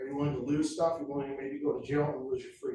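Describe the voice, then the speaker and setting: Echo from the room hangs around a man whose pitch varies in a typical way. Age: 50s. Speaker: self-defense instructor. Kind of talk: lecture. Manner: animated.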